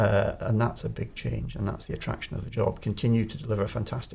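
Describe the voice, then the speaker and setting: This man has a Scottish accent. He speaks at a fairly quick pace. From Scotland. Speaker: chief executive of a public body. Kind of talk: interview.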